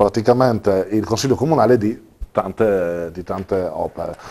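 Here a man speaks at a fairly slow pace in a medium pitch, with ordinary pitch variation and a dark, mellow tone. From Trieste, Italy. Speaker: district council member. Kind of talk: TV interview discussion. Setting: studio. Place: studio. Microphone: lapel.

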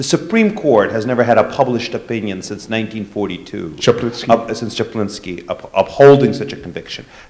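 A man with a plain, everyday voice, medium pitch, fairly quick pace, and big swings in loudness. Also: ordinary pitch variation, hardly any pauses. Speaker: law professor. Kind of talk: panel discussion. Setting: live event with audience. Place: hall. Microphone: handheld.

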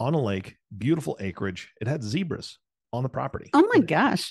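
A man speaks at a moderate pace in a dry, close sound with no echo, the background quiet. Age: 40s. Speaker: podcast co-host. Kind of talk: casual chat.

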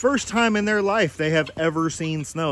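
A man speaks at a fairly quick pace with ordinary pitch variation. The sound is dry, with no echo. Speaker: farmer vlogger. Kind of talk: casual vlog chat. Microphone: phone near.

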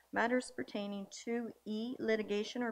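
A woman is speaking. Her intonation is fairly even. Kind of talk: formal meeting procedure reading. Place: hall. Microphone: podium.

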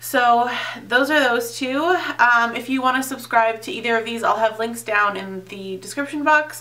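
A woman's high-pitched voice at a moderate pace with ordinary pitch variation. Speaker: beauty YouTuber. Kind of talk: product unboxing review. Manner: casual, filler-heavy. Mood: cheerful, enthusiastic. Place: home room. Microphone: phone near.

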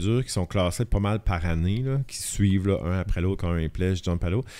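A man's fairly low, dark, mellow voice at a moderate pace, with ordinary pitch variation and hardly any pauses. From Acadian Peninsula, northern New Brunswick (Shippagan); New Brunswick. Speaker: photographer; podcast guest. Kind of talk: casual chat. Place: studio. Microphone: studio mic.

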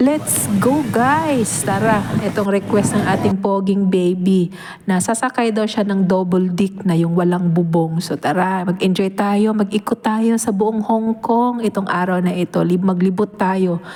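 Over noticeable background noise, a woman speaks at a medium pitch and a fairly slow pace, with ordinary pitch variation. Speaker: travel vlogger. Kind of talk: travel vlog narration.

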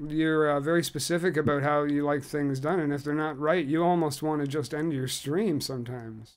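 With a plain, everyday voice, a man talks at a fairly quick pace in a fairly high pitch and fairly even intonation. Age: 30s. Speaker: podcast host. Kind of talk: casual interview. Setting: video call.

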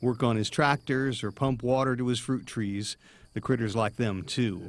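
A man talks at a moderate pace in a medium pitch. His intonation is fairly even, and he has a normal speaking voice. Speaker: TV news reporter. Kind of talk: TV news feature narration.

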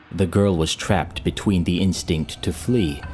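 A man's very deep, low voice at a fairly slow pace, with ordinary pitch variation and music in the background. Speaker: storyteller / ASMR reader. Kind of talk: creepypasta story reading. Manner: calm, narrative.

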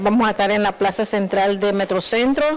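With an ordinary speaking voice, a woman of medium pitch speaks at a fairly slow pace. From Nicaragua. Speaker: small food business owner. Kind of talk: TV interview. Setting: TV studio. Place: studio. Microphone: handheld.

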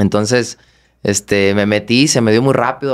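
A man speaks at a moderate pace in a fairly low pitch. His pitch varies in an ordinary way against a quiet background. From Guadalajara, Jalisco, Mexico. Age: 20s. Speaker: professional boxer; guest. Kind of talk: interview. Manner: halting, repeats words. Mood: calm, reflective. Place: studio. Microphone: studio mic.

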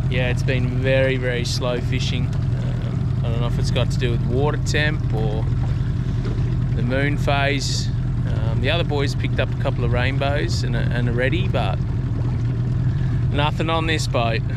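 A man talks at a moderate pace, with long, frequent pauses. The sound is dry with no echo, over loud background noise. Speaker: angler vlogger. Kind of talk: casual vlog chat. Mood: relaxed, a bit disappointed. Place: boat. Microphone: phone near.

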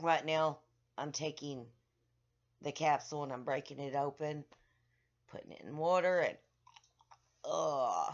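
A woman with a very deep, low voice, monotone, flat intonation, and long, frequent pauses. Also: quiet background. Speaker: vlogger. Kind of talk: casual vlog chat. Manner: slow, drained, drowsy speech. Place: home room. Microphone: webcam.

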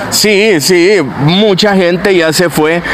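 Noticeable background noise behind a man, his pitch shifting in an ordinary way. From El Salvador, Chalatenango. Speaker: content creator. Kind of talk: casual conversation. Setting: outdoors at a street festival.

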